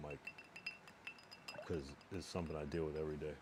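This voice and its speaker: A man talks over noticeable background noise. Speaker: live streamer. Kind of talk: casual chat. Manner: soft-spoken; halting.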